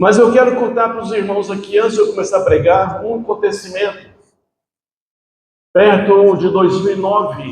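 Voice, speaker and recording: The speaker is a man. Room echo can be heard. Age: 60s. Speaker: preacher. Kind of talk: sermon. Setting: church.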